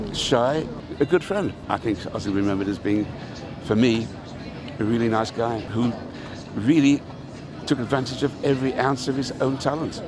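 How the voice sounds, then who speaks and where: Long, frequent pauses break up a man's moderate-paced speech at medium pitch with ordinary pitch variation. Noticeable background noise and audible room echo are present. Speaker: former band manager. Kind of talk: interview reminiscence.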